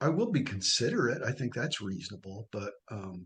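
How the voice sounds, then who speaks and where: There is vocal fry in this man's voice. He speaks at a moderate pace. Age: 60s. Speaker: coaching client. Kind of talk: testimony. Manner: halting.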